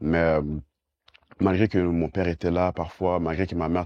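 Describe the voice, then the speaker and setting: Here a man speaks at a fairly slow pace. His very deep, low voice stays monotone and flat. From Quebec, Montreal. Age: 20s. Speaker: banker, life coach and evangelist. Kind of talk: testimony. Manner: halting, many fillers and repetitions.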